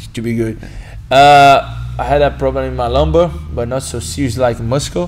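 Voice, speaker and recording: With a Brazilian Portuguese accent, a man talks at a moderate pace while his pitch swings very widely. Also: medium pitch for a man. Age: 20s. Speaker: martial arts instructor. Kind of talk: podcast interview. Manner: halting.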